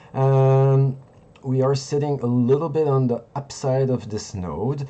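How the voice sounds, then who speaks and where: The man's tone is dark and mellow, and he has a non-native accent. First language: not English. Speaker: crypto trading streamer. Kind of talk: live market analysis stream. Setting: live stream. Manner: halting, searching for words.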